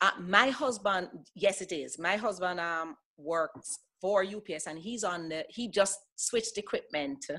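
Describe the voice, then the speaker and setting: In a very clean recording with a silent background, a woman of medium pitch speaks fairly slowly in a bright, sharp tone, with ordinary pitch variation and big swings in loudness. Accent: American. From Jamaica. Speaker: former airline pilot. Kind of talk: casual interview. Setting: podcast.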